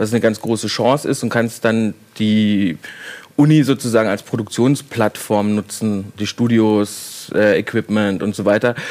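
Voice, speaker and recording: Fairly low-pitched man in a normal speaking voice, with fairly even intonation and a fairly slow pace. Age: 30s. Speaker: film director. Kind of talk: casual chat.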